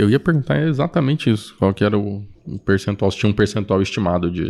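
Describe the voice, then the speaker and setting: A man with a normal speaking voice speaks at a fairly low pitch. His intonation is lively. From Campo Grande, Mato Grosso do Sul, Brazil. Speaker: podcast host. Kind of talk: podcast interview. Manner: casual, laughing often.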